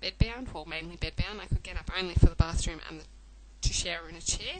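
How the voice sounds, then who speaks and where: A woman with an Australian accent over noticeable background noise. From Australia (Melbourne). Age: 20s. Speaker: chronic illness patient sharing story. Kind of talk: personal testimony vlog. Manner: hesitant, many fillers.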